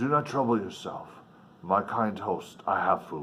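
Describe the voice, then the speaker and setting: Using a put-on character voice, a man speaks at a moderate pace and a fairly low pitch. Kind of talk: formal, old-fashioned, polite. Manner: gentle, courteous.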